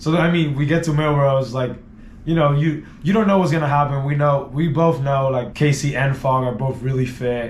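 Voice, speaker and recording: A man talks at a moderate pace with very even loudness. Audible room echo surrounds his voice. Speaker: team media guy. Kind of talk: casual chat. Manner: animated.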